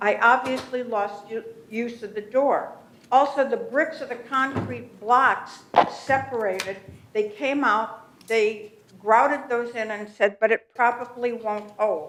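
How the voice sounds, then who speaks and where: A woman with an unremarkable speaking voice talks at a fairly slow pace and fairly high pitch, with fairly even intonation. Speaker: resident speaking at public comment. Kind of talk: public comment at board meeting.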